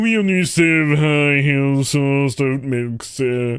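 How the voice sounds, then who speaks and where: Putting on a pompous character voice, a man with a fairly high pitch talks very slowly. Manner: snobby, pompous.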